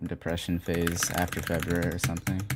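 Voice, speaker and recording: This man speaks at a very fast pace in a very deep, low voice. Noticeable background noise runs behind him. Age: 20s. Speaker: gaming streamer. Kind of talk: live stream chat. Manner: monotone; casual.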